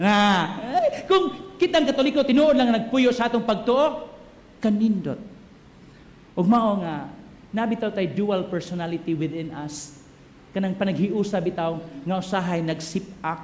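A man shouts in a high-pitched, animated tone with lively intonation. He leaves long, frequent pauses over light background noise. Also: fairly slow pace. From Cebu, Philippines. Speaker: priest giving homily. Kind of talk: homily at Mass, sermon with congregation call-and-response. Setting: church Mass with congregation. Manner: animated, humorous, joking with crowd, shouting call-outs, code-switching Cebuano-English. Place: church. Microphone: podium.

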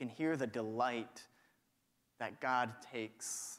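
The background stays quiet. A man talks with lively intonation. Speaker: pastor. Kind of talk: sermon. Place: church. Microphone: lapel.

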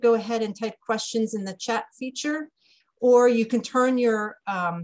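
A somewhat breathy woman at a moderate pace, ordinary pitch variation, quiet background. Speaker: webinar host. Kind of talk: webinar introduction. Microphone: video call.

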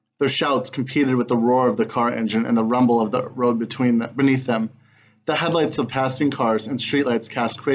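What you hear is a natural reading voice.

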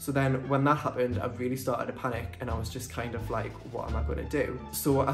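Over clear background music, a man talks at a fairly quick pace. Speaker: vlogger. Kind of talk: casual vlog storytelling. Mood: animated story recounting. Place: home room. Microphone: phone near.

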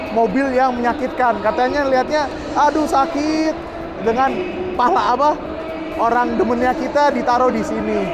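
Loud background noise runs behind this recording. A man talks over it at a moderate pace. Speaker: vlogger at car show. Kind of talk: casual vlog commentary. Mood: enthusiastic, impressed. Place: hall. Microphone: phone near.

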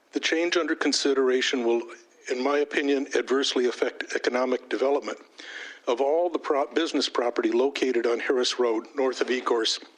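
A man's fairly high voice at a fairly quick pace, with fairly even intonation, very even loudness and noticeable background noise. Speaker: commercial property owner giving public comment. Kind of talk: public comment at a township board meeting. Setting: township board meeting room. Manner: fast.

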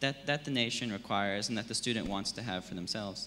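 Bright, sharp tone with ordinary pitch variation over light background noise. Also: man. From Australia. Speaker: online education company founder, panellist; panellist. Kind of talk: panel discussion. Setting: stage with audience. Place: hall. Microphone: handheld.

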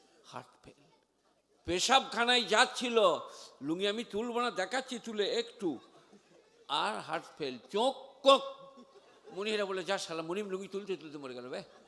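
A man with a high-pitched voice speaks in an animated, raised and projected way, his loudness swinging widely and his intonation lively. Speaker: Islamic preacher. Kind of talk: sermon.

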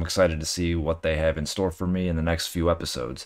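A man speaks at a very fast pace with a very deep, low pitch against a quiet background. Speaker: anime reaction video host. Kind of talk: casual reaction commentary and outro. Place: home room. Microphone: webcam.

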